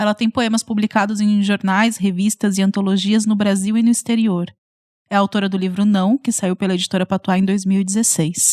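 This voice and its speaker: On a very clean recording with a silent background and a dry, close sound with no echo, a woman speaks in a flat monotone at a moderate pace and medium pitch. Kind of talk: podcast host introduction.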